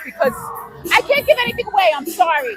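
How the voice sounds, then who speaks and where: A raised, projected voice with a New York accent swings very widely in pitch while music plays in the background. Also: woman. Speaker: actor. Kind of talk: red carpet interview.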